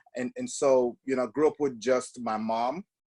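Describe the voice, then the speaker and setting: A man with a strong Jamaican accent, ordinary pitch variation, dry close sound with no echo, very clean recording and silent background. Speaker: podcast guest. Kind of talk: casual interview.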